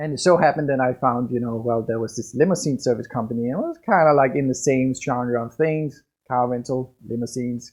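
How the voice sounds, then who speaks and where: With a Danish accent, a man speaks fairly quickly at a medium pitch and with fairly even intonation. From Denmark. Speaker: business coach. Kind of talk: podcast monologue.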